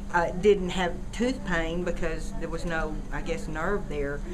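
A woman at a moderate pace amid noticeable background noise. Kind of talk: interview answer. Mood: calm, matter-of-fact. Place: studio.

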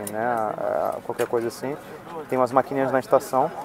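A man with a medium pitch speaks in fairly even intonation, the sound dry with no echo but with noticeable background noise. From Brazil, Niterói (Rio de Janeiro); Brazil. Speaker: travel vlogger. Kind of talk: casual vlog chat. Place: plane. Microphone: earbuds.

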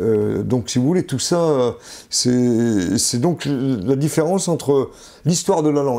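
Against a quiet background, a man of medium pitch talks at a fairly slow pace with lively intonation and a dark, mellow tone. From France, Vichy (Auvergne); Auvergne, France. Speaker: linguist and retired professor; retired professor. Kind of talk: interview. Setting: at home. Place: home room. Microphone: lapel.

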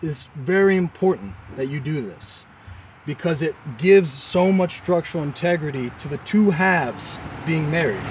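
A man with an American accent talks at a moderate pace in a normal speaking voice, fairly high in pitch and lively in intonation. The sound is dry with no echo, with light background noise. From Texas. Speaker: stonemason. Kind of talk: tutorial. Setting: outdoors. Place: open country.

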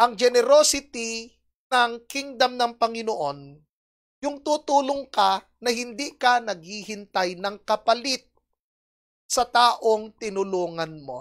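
A woman's fairly high, lively voice at a very slow pace against a quiet background. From Philippines. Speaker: preacher. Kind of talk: sermon, Bible teaching. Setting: online church service video. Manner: earnest, explanatory, teacherly. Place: stage. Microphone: handheld.

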